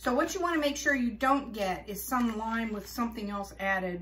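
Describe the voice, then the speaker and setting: Fairly high-pitched woman with an American accent, moderate pace, and noticeable background noise. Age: old. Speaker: homesteader. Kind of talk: casual how-to talk to camera.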